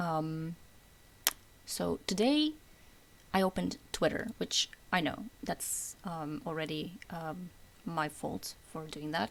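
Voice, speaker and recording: A woman whispers quietly. Her pace is very slow. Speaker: gaming lore commentator. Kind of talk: unscripted casual rant about video game lore. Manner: semi-whispered, quiet.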